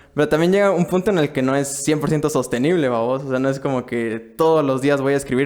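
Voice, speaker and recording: Music plays in the background as a man speaks at a medium pitch, his pitch varying in an ordinary way. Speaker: podcast host. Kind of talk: podcast host interview.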